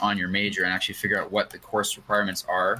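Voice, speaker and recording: A man with a fairly low pitch talks at a very fast pace over noticeable background noise. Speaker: podcast co-host. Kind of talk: casual chat.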